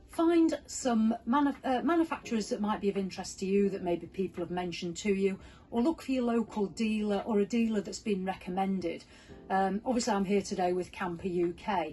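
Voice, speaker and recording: A woman with a Yorkshire accent speaks at a fairly quick pace with lively intonation and a medium pitch. Her voice is somewhat breathy, with a dark, mellow tone. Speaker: motorhome travel vlogger. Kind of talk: interview answers, casual advice.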